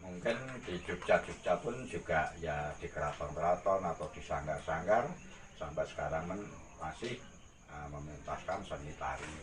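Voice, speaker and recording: A man talks at a moderate pace. Noticeable background noise is heard behind him. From Gunung Kidul, Java, Indonesia. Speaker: artist and costume rental owner. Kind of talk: interview answer.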